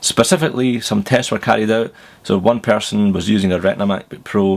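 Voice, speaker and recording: In a Glaswegian accent, a man talks at a fairly quick pace with fairly low pitch and ordinary pitch variation. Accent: Glaswegian Scottish. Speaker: tech reviewer. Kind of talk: tech news vlog. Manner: casual, chatty.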